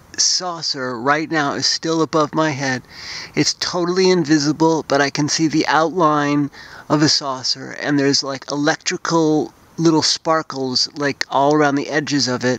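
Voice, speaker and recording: The man's delivery is monotone and flat at a moderate pace, the sound dry with no echo. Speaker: night-sky vlogger. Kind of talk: casual vlog chat. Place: open country. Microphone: phone near.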